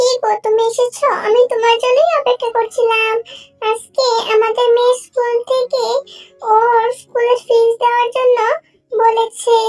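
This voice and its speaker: In a cartoonish character voice, a woman speaks at an extremely high pitch with monotone, flat intonation. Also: moderate pace. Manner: caring, fussing.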